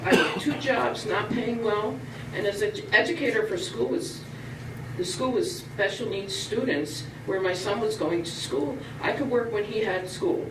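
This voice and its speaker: A woman speaks at a moderate pace with very wide pitch swings. The recording has noticeable background noise and audible room echo. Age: 60s. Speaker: public commenter at town meeting. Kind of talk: public comment speech. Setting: town board meeting.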